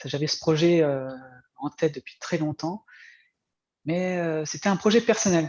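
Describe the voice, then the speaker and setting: On a very clean recording with a silent background, a man speaks at a high pitch with ordinary pitch variation, the sound dry and close with no echo. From France. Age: 40s. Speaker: former video game programmer turned comic artist. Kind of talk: interview. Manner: halting, many fillers.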